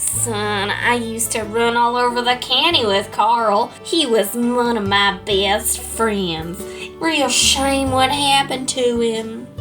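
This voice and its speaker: A woman uses a put-on character voice, fairly high in pitch, at a fairly slow pace. Clear music plays in the background. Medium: audio drama. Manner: silky, smug, genteel.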